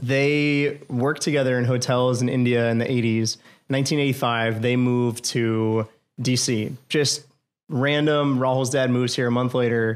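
A man with an American accent at a moderate pace, monotone and flat in intonation, his loudness very even, on a very clean recording with a silent background. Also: medium pitch for a man. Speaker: restaurant co-founder. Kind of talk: casual interview.

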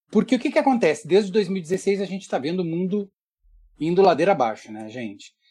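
The man's voice sits at a high pitch. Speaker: visual artist. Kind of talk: casual chat. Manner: animated.

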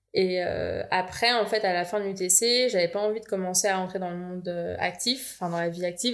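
A woman's ordinary speaking voice, an ordinary speaking voice at medium pitch, with fairly even intonation and a moderate pace. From France, Val-d'Oise (Paris region). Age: 20s. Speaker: engineer. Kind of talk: casual chat.

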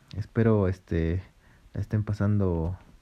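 Using a dark, mellow tone, a man talks at a very slow pace. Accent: Mexican. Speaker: podcast host. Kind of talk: casual chat.

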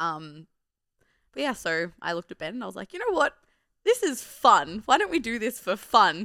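A woman with an Australian accent speaks at a moderate pace in a bright, sharp tone, on a very clean recording with a silent background. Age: 20s. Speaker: strength training athlete. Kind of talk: casual chat.

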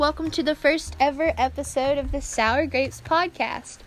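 Speaking at a moderate pace in an American accent, a woman with a high pitch comes through over noticeable background noise. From North Carolina. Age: 20s. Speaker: podcast host. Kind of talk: casual monologue. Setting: cellar of an abandoned prairie home.

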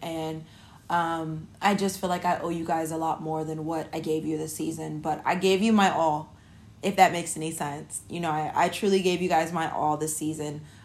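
A woman's fairly low, monotone, flat voice at a moderate pace, with audible room echo. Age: 30s. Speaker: podcast host. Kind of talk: casual monologue. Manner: casual, many filler words.

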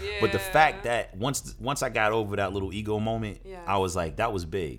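With a very deep, low pitch, a man talks in vocal fry. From New Jersey and Brooklyn, New York. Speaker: actor and producer. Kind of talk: interview.

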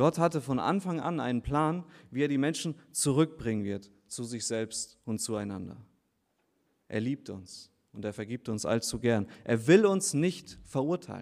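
In a very clean recording with a silent background, a man with an unremarkable speaking voice and a medium pitch speaks at a fairly slow pace with lively intonation. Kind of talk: baptism sermon. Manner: earnest, persuasive preacher's tone, direct appeals to the listeners.

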